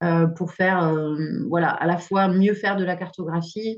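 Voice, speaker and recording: A woman's fairly low, monotone voice with flat intonation. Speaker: expert speaker on noise pollution. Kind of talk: webinar presentation. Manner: fast.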